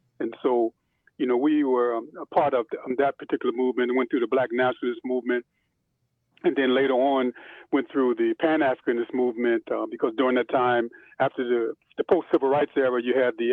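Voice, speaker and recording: With an American accent, a man talks at a very fast pace and medium pitch in a monotone, flat intonation. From Pennsylvania, US (Chester and West Philadelphia). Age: 60s. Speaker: imam. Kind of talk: oral history interview. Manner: halting, many fillers.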